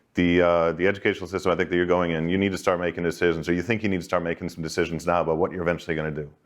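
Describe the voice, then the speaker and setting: Against a quiet background, a man with a Boston accent speaks in a very deep, low voice. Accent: Boston American. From Boston, Massachusetts, US. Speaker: banking executive, career talk speaker. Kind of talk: informal career talk to students. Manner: conversational, with many false starts and repetitions.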